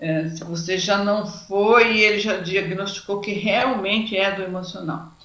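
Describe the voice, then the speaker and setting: With a Brazilian accent, a woman speaks fairly slowly at a medium pitch with ordinary pitch variation, amid noticeable background noise and audible room echo. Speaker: lecturer on anxiety. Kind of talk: lecture.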